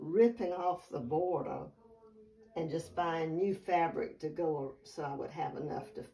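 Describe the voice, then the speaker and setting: Her pitch fairly low, a woman with a Southern US accent talks with ordinary pitch variation. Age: 80s+. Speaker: quilter. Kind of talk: casual chat. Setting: at home.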